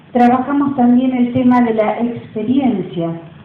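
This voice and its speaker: A woman speaks at a fairly high pitch with ordinary pitch variation and a moderate pace. Noticeable background noise and audible room echo are present. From Río de la Plata region. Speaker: university professor. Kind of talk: lecture.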